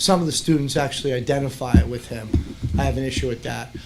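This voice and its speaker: Against noticeable background noise, a man speaks at a fairly quick pace. His pitch is medium. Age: 60s. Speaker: parent speaking in public comment. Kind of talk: public comment at school board meeting. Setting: school board meeting room.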